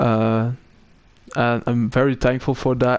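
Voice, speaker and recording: Speaking fairly slowly with a slight British accent, a man holds a medium pitch in flat, monotone intonation. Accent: slight British-sounding. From Belgium. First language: Dutch. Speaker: sim racing commentator and streamer. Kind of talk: casual chat with stream viewers; live commentary. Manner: halting, with many fillers.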